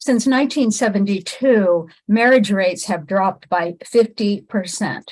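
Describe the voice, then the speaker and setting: Somewhat breathy, a woman speaks fairly slowly at a medium pitch with ordinary pitch variation. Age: 60s. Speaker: relationship coach. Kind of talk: monologue to camera.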